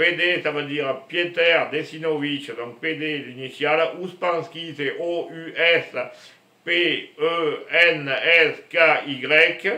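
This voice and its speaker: There is audible room echo around a man speaking at a fairly high pitch with fairly even intonation. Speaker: spiritual vlogger. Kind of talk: casual monologue to camera. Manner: loud; slow.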